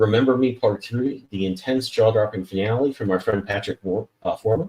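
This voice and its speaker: A man speaks in a plain, everyday voice. His intonation stays fairly even at a fairly quick pace. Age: 40s. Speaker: comic book artist and show host. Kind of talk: casual interview chat with book promotions.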